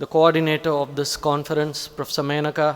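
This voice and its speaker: A man with a Tamil Nadu accent and a fairly high pitch, amid noticeable background noise. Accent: Tamil Indian English. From Tamil Nadu, India. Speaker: college principal or senior academic. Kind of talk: formal conference address. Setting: auditorium conference with audience. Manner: hesitant, many fillers.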